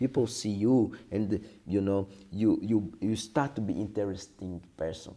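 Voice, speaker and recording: Speaking with a Portuguese accent, a man uses a fairly low pitch, a dark, mellow tone, ordinary pitch variation and a moderate pace. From Brazil, Brasilia. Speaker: capoeira teacher. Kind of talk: interview. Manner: halting.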